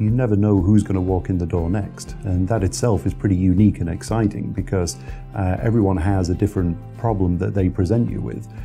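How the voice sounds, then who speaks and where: Music plays in the background as a man with a British accent speaks at a fairly quick pace. His pitch is very deep and low, with lively intonation. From United Kingdom. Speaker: licensed insolvency trustee. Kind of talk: interview answer.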